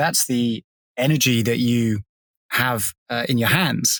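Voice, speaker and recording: Fairly slow speech from a man with an English accent, dry, close sound with no echo, very clean recording and a silent background. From England. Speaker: podcast co-host. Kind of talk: casual chat.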